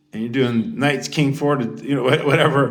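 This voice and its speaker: The tone is animated. Room echo can be heard. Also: man. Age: 50s. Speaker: YouTuber. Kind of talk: casual monologue rant. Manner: halting.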